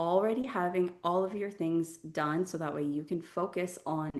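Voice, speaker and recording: A woman speaks in a plain, everyday voice at a fairly low pitch. Her pace is moderate, her pitch variation ordinary and the background quiet. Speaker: webinar host. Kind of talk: event introduction.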